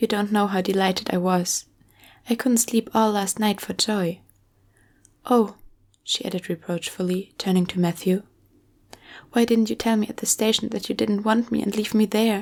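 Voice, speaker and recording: A soft-spoken woman with a gentle tone talks at a moderate pace and a medium pitch, her intonation fairly even. She leaves long, frequent pauses, and the recording is very clean with a silent background. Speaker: ASMR creator who reads audiobooks aloud. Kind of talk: ASMR book reading, bedtime story. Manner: soft-spoken, gentle.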